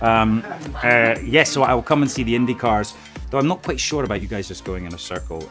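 Over clear background music, a man speaks at a medium pitch with lively intonation. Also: fairly quick pace. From Scotland. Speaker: actor. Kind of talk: interview answer. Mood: playful, joking. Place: studio.

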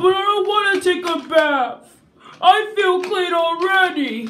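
An extremely high, cartoonish character voice is heard. It moves at a fairly slow pace. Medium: puppet.

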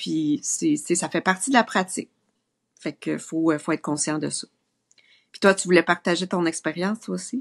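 A woman speaks at a fairly slow pace with a Quebec accent, her fairly low pitch marked by vocal fry and lively intonation. Long, frequent pauses break up her speech against a quiet background. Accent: Québécois French. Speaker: maternity nurse; guest. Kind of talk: casual chat. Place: home room. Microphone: video call.

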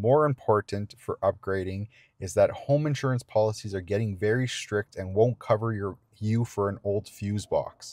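A man speaks at a moderate pace with a fairly low pitch, a slightly mellow tone and ordinary pitch variation.

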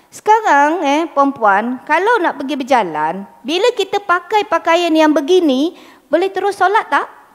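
A woman with an extremely high voice speaks at a fairly slow pace with hardly any pauses, her pitch swinging very widely against a quiet background. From Malaysia. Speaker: religious teacher. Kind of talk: lecture. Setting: mosque. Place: hall. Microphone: handheld.

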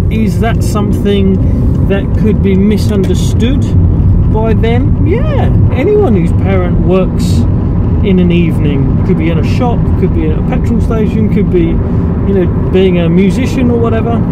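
Loud background noise runs behind a man's voice. He speaks at a fairly slow pace, and the sound is dry with no echo. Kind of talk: casual vlog chat. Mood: reflective, candid. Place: car. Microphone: phone near.

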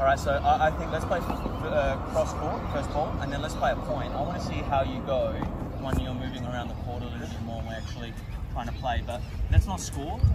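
A man talks at a fairly quick pace. The sound is dry with no echo, under loud background noise. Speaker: tennis coach. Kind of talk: coaching explanation. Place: open country.

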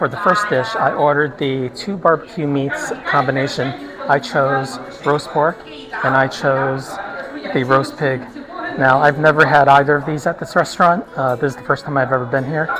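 Someone speaks at a moderate pace while crowd noise runs in the background. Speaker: food reviewer. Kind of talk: casual food review vlog. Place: cafe. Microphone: phone near.

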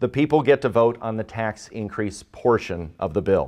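Moderate pace and ordinary pitch variation over a quiet background. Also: man. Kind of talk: courtroom argument. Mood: earnest, formal. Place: hall.

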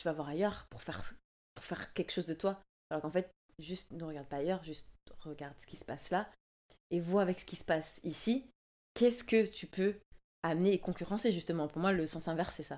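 The delivery is fairly quick, broken by long, frequent pauses. Loudness swings widely while pitch varies in an ordinary way. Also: woman, fairly low pitch for a woman. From Martinique. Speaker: dancer; interview guest. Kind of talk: casual interview. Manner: halting, many hesitations. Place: home room. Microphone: studio mic.

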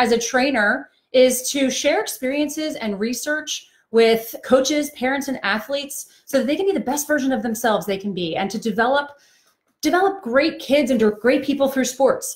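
A woman speaks at a moderate pace in a high pitch, her intonation lively against a quiet background. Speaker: trainer. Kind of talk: live-stream talk to parents. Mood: warm, empathetic. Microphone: phone near.

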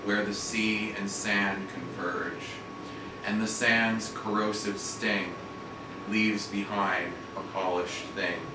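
A man at a very slow pace, with audible room echo and noticeable background noise. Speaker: poet. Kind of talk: poetry reading. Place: shop. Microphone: camera far.

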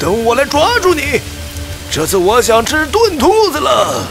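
Clear music plays behind a put-on character voice. It moves at a fairly slow pace with big pitch swings.

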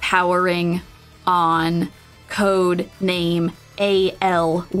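Over clear music, a female-sounding put-on character voice comes across robotic and monotone, with flat intonation at a fairly low pitch for a woman.

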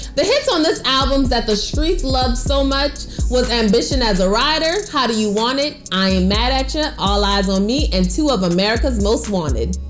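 With clear music in the background, a woman talks at a moderate pace with very even loudness and hardly any pauses. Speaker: segment host. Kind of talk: countdown presentation. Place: home room.

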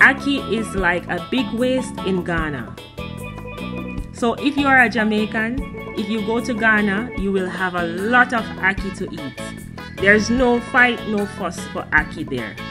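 Clear music sounds in the background while a woman speaks at a fairly slow pace. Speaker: travel vlogger. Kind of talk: casual vlog chat. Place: cafe. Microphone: phone near.

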